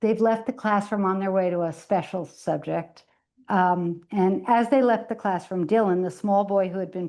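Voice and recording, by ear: Against a quiet background, the speaker is reading aloud in a natural voice with fairly even intonation.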